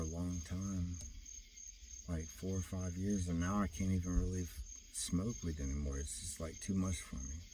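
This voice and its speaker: Through audible room echo, a man with a very deep, low pitch and a dark, mellow, somewhat breathy tone speaks at a moderate pace with ordinary pitch variation. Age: 40s. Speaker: vlogger. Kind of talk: personal monologue. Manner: rambling with many fillers.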